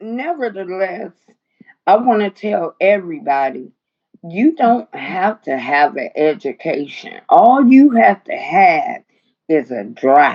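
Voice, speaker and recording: A woman with a medium-pitched voice speaks at a very slow pace, her pitch swinging very widely. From Chicago, Englewood. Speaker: notary and business owner. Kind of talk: casual interview chat.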